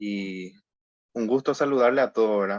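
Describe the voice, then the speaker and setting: With a Paraguayan accent and fairly even intonation, a man speaks at a fairly slow pace in a dry, close recording with no echo. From Paraguay, Salto del Guairá. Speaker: church member. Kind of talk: Bible study discussion.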